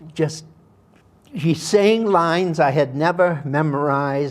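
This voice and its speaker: A man talks at a fairly slow pace in a very clean recording where the background is silent. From Massachusetts, Worcester. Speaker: actor. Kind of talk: interview storytelling.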